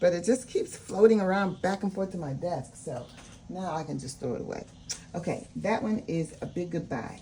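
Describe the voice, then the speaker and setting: Her voice is fairly low for a woman, somewhat breathy, with a dark, mellow tone. She speaks at a moderate pace with lively intonation. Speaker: budgeting video creator. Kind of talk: casual talk-through budgeting vlog. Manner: casual, with many fillers.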